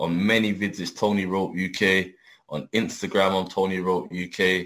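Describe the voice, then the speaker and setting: With a London accent, a man talks at a fairly slow pace in a fairly low pitch and a monotone, flat intonation. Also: very clean recording, silent background. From London, England. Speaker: adult film performer. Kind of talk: casual interview.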